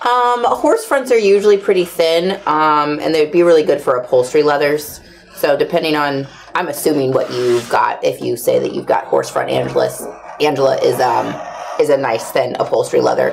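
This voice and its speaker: A woman speaks at a moderate pace. Light background noise can be heard. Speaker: livestream host for leather supply company. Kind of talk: casual chat. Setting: studio livestream. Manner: animated. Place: workshop.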